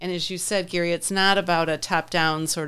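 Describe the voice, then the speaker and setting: On a very clean recording with a silent background, a woman with a plain, everyday voice speaks at a moderate pace, her fairly low pitch held to fairly even intonation. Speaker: podcast host. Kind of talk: interview.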